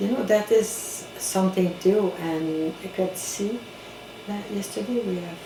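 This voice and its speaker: A woman with a Quebec accent speaks fairly slowly at a medium pitch. Audible room echo and noticeable background noise surround her. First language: French. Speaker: community organization director. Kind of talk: interview. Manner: halting.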